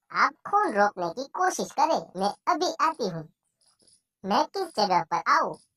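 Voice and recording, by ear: A cartoonish character voice, female-sounding, with a high pitch. It moves at a fairly slow pace with very wide pitch swings.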